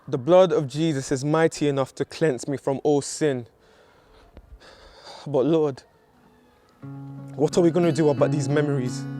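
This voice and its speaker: With music in the background, a man talks in a fairly high voice with fairly even intonation and long, frequent pauses. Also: moderate pace. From Nigeria. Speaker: spoken word poet. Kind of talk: spoken word poetry performance.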